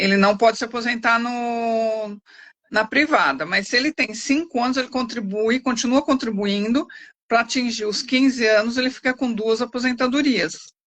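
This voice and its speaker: This woman talks at a moderate pace in a high voice with ordinary pitch variation. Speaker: lawyer. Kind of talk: expert Q&A answers. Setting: live stream.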